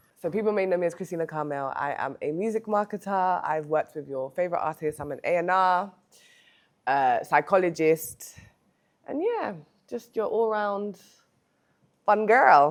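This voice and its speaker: Woman with a London accent, fairly low in pitch, with lively intonation, a moderate pace and long, frequent pauses, in a very clean recording with a silent background. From London, England. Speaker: music marketer. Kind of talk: casual interview chat.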